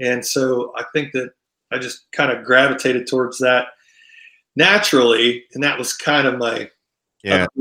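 With a Midwestern US accent, a man speaks at a moderate pace and medium pitch in a bright, sharp tone, with ordinary pitch variation and long, frequent pauses. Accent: US Midwest. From Ohio. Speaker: country singer. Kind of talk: interview.

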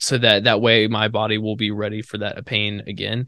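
A man's fairly low voice comes across with a bright, sharp tone. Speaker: college runner and podcast co-host. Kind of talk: casual chat.

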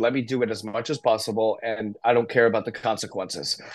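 A man with an American accent talks at a medium pitch with fairly even intonation. He has a plain, everyday voice. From US, northern New Jersey. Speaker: addiction recovery advocate. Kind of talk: casual interview, personal story.

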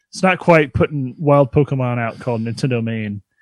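Dry and close with no echo, a man's ordinary speaking voice sits at medium pitch, moving at a moderate pace with ordinary pitch variation. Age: 30s. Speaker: podcast co-host. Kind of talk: casual chat.

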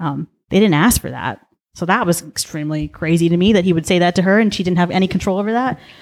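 A woman with a Southern California accent, fairly low pitch, ordinary pitch variation and a fairly quick pace, in a very clean recording with a silent background. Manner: fast talker.

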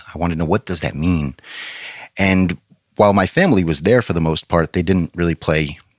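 A man's very deep, low voice with vocal fry and ordinary pitch variation. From New York. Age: 30s. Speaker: pastor. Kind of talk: testimony. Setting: studio.

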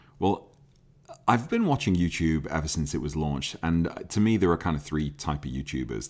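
A man with a very deep, low pitch talks at a fairly quick pace, his lively intonation edged with vocal fry. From Liverpool, England. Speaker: car enthusiast YouTuber and podcaster. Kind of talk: casual solo podcast monologue. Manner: casual, filler-heavy.

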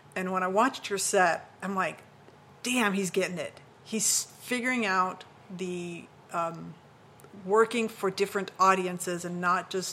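A woman speaks in an unremarkable speaking voice at medium pitch, fairly slowly and with fairly even intonation. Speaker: podcast host. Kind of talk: podcast interview.

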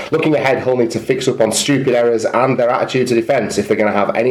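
A man with a northern English accent, medium pitch and ordinary pitch variation, talking at a very fast pace over noticeable background noise. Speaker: rugby league podcaster. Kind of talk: scripted sports news roundup.

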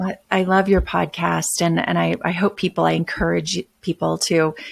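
A woman with a Midwestern accent speaks at a moderate pace in a fairly low pitch, with vocal fry and little pitch movement. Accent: American, Midwestern.

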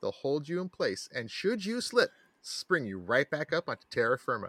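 A man speaks at a moderate pace in a bright, sharp tone with very wide pitch swings. The recording is very clean, with a silent background and a dry, close sound with no echo. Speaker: podcast co-host. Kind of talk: parody commercial voice, mock-salesman ad read for a fake product; casual comedic science chat. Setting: recorded podcast.

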